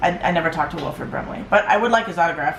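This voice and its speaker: A woman speaks very fast with a fairly low pitch and lively intonation. The room echoes audibly, and background noise is noticeable. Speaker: vlogger. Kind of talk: personal vlog. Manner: halting.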